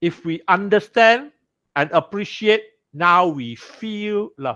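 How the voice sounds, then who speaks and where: Against a quiet background, a man uses a raised, projected voice with a high pitch, a bright, sharp tone and very wide pitch swings, speaking at a very slow pace. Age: 60s. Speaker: Bible study teacher. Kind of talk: sermon-style Bible class teaching.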